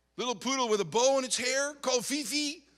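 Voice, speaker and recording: With a raised, projected voice, a man talks at a moderate pace in an animated, bright, sharp tone. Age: 60s. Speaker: pastor. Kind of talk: sermon. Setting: church youth conference.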